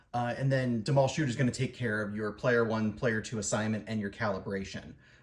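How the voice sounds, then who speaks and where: Somewhat breathy, a man speaks at a fairly quick pace. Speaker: hobbyist YouTuber answering viewer questions. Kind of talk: tutorial. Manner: fast; hesitant, many fillers.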